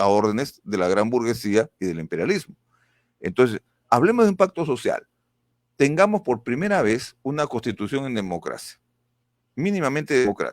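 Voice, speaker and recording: Very wide pitch swings mark this man's medium-pitched voice at a moderate pace, recorded dry and close with no echo on a very clean recording with a silent background. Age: 60s. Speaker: political candidate. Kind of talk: political interview.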